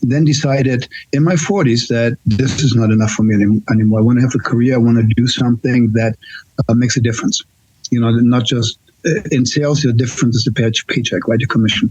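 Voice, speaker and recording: Somewhat breathy speech goes by at a very fast pace with fairly even intonation. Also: man, medium pitch for a man, very even loudness. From Germany. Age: 60s. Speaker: nurse. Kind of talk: casual chat. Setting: podcast. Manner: halting.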